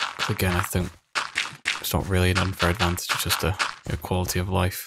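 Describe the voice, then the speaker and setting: A man whispering quietly in a relaxed tone at a fairly quick pace, with long, frequent pauses. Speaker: gaming video creator. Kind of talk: gameplay commentary. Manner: quiet, near whisper; relaxed, chill.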